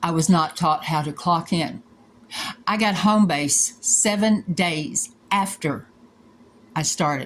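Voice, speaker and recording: A somewhat breathy woman at a very slow pace, with long, frequent pauses, on a very clean recording with a silent background. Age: 60s. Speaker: former hotel employee making a complaint video. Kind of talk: personal complaint monologue. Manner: emotional, heated.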